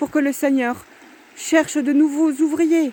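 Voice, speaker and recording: Over noticeable background noise, a woman speaks loudly at a high pitch and a fairly slow pace, with fairly even intonation. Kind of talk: religious exhortation. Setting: outdoors by the water.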